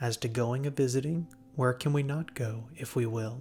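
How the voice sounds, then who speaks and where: Soft-spoken and soothing, a man talks at a medium pitch and a fairly slow pace with fairly even intonation. Music plays in the background. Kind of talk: sleep story. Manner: soft-spoken, soothing.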